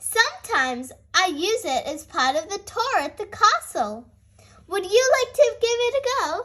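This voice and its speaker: Putting on a character voice, a woman speaks at a moderate pace in an extremely high pitch with very wide pitch swings. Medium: read story.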